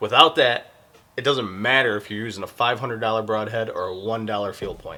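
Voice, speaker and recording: A man with an American accent speaks at a medium pitch and a fairly quick pace, with ordinary pitch variation. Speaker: hunting YouTuber. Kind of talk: product review. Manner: fast; casual.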